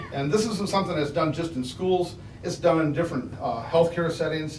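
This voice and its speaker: A man's fairly high pitch, carrying ordinary pitch variation, comes through noticeable background noise and audible room echo. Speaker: school staff trainer. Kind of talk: board presentation. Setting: school board meeting. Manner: loud.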